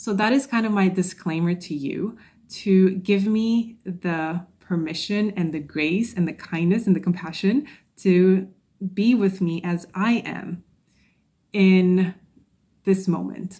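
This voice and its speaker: A woman speaks very slowly in a dark, mellow, somewhat breathy tone, in a very clean recording with a silent background. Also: medium pitch for a woman, ordinary pitch variation. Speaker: podcast host and social anxiety coach. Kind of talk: solo podcast monologue. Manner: stuttering, stumbling at times.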